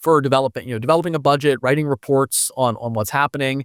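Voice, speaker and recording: Recorded very cleanly against a silent background, a man with an American accent talks at a medium pitch with ordinary pitch variation. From United States. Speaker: foundation director in blockchain governance and education. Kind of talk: podcast interview. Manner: halting, many fillers and restarts.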